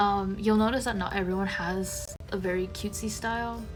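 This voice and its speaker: A woman speaks fairly slowly with music in the background and audible room echo. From Taiwan. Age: 20s. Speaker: journaling vlogger. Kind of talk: casual voiceover. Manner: hesitant, many fillers.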